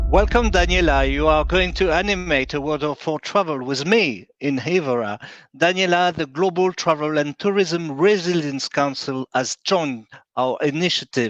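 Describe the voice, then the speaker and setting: In a French accent, a man speaks at a moderate pace and a fairly high pitch, the sound dry and close with no echo against a quiet background. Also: ordinary pitch variation. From France. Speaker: event organizer, secretary general. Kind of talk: closing remarks at virtual conference. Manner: halting, many hesitations.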